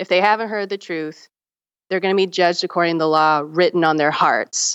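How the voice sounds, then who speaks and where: Over a quiet background, a woman with an American accent uses a plain, everyday voice, fairly low in pitch with ordinary variation. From US South, South Carolina. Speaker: teacher and religious studies graduate. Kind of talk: casual chat.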